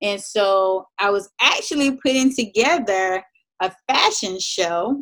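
Ordinary pitch variation runs through a plain, everyday voice. It moves at a fairly slow pace. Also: woman. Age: 30s. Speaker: lifestyle blogger. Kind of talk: casual chat.

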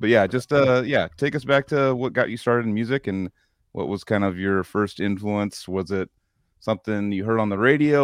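A man with a plain, everyday voice speaks at a fairly quick pace and fairly low pitch, with ordinary pitch variation against a quiet background. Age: 30s. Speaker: podcast co-host. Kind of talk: casual chat.

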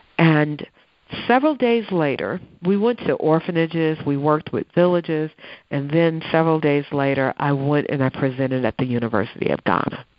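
Lively intonation at a moderate pace, with an American accent. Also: woman, very deep, low pitch for a woman. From Chicago West Side, US. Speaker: professor of social work and public health. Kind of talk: interview conversation. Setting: remote call from Ghana.

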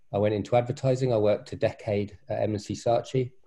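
A somewhat breathy man at medium pitch, with a dark, mellow tone, fairly even intonation and a moderate pace against a quiet background. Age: 40s. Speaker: venture capitalist and coach. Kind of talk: casual chat. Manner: halting with fillers.

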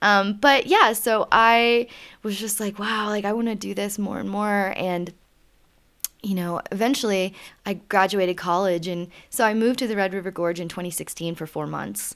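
In a normal speaking voice, a woman with an American accent talks at a moderate pace and medium pitch, her intonation fairly even. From US South. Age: 30s. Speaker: climber and herpetologist. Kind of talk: casual interview chat. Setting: mountain cabin.

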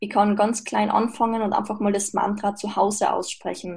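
A woman with a dark, mellow, somewhat breathy tone speaks at a moderate pace and medium pitch with monotone, flat intonation. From Austria. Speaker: mental coach and podcaster. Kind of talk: interview.

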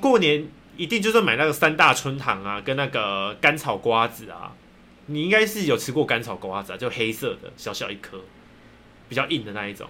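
A man speaks fairly quickly in a Taiwanese accent with a bright, sharp tone. His fairly high pitch swings very widely, and his loudness shifts a lot. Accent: Taiwanese Mandarin. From Taiwan, rural Hakka area. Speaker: podcast co-host. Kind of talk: casual chat.

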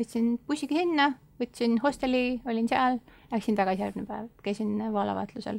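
Here is an ordinary speaking voice from a woman. Her pitch is fairly high, with ordinary pitch variation. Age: young. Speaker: former exchange volunteer in Costa Rica. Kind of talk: interview. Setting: studio.

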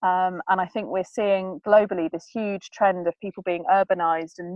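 In an English accent, a woman of medium pitch talks in a monotone, flat intonation. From England. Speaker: sustainable living blogger. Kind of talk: interview. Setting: remote call. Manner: fast.

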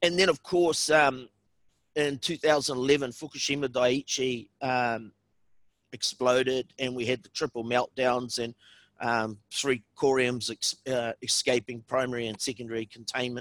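A man of medium pitch speaks fairly slowly in a plain, everyday voice, his intonation fairly even, his loudness swinging widely, in a dry, close sound with no echo. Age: 50s. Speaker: environmental activist and writer. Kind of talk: interview conversation.

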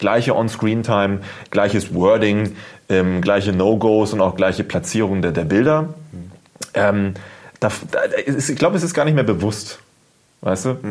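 A man speaks at a fairly slow pace with long, frequent pauses. His fairly low voice has lively intonation. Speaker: YouTuber. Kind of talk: casual chat.

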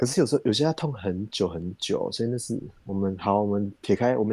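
A man with a dark, mellow tone and fairly low pitch talks very fast, with ordinary pitch variation. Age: 30s. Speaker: podcast host. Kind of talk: casual chat.

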